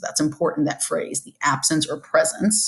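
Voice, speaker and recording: The speaker is a woman with a very deep, low pitch. There is some breathiness in her voice. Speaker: high school forensics teacher. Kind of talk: recorded lesson review.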